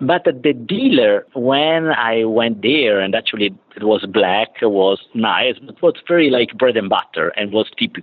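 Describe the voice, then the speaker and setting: A man speaks at a medium pitch with an Italian accent. His intonation is lively and his pace fairly slow. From Italy. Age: 50s. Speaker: automotive business development executive. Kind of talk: interview. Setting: remote call from client site. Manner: halting.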